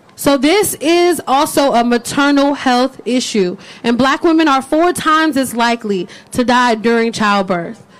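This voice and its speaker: At a moderate pace, the speaker uses lively intonation and very even loudness over noticeable background noise. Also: woman. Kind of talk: rally speech. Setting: outdoor rally with crowd. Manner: loud call-and-response, hype-building, crowd-leading.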